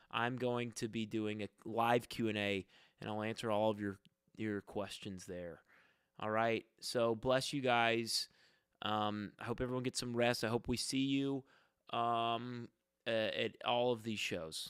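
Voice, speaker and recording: On a very clean recording with a silent background, a man at medium pitch speaks at a fairly slow pace with fairly even intonation. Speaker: musician and comedian. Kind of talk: casual livestream chat. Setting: home basement livestream. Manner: quiet; halting.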